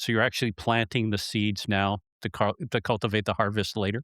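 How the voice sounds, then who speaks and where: A man with an ordinary speaking voice at a fairly low pitch and moderate pace, dry and close with no echo, on a very clean recording with a silent background. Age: 60s. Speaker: podcast host. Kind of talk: podcast interview.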